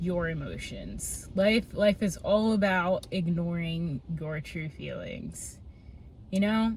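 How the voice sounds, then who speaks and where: With lively intonation, a woman speaks very slowly in a somewhat breathy voice. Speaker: vlogger. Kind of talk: personal vlog monologue. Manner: halting.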